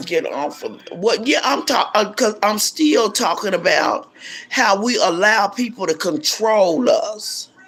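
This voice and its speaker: Noticeable background noise sits behind a woman talking at a fairly slow pace. Her fairly high pitch makes very wide swings. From South Central Los Angeles. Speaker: YouTuber, pastor's wife. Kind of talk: casual livestream monologue. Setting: at home. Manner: animated.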